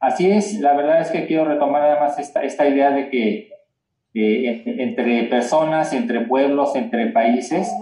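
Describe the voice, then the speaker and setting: Lively intonation and a dark, mellow tone at a fairly slow pace, with audible room echo. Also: man, fairly high pitch for a man. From Mexico. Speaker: cultural heritage association president. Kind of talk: casual chat. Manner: halting.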